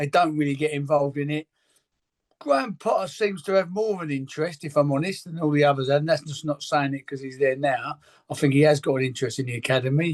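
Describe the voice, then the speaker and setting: Very fast talking comes from a man. The pitch sits fairly high and varies in an ordinary way. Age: 60s. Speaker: football academy coach. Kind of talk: interview. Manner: halting.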